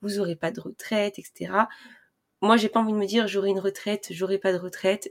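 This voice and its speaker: In a very clean recording with a silent background, a woman speaks at a medium pitch and a moderate pace. The sound is dry and close, without echo. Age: 20s. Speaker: personal finance podcaster. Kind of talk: casual monologue. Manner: hesitant, many fillers.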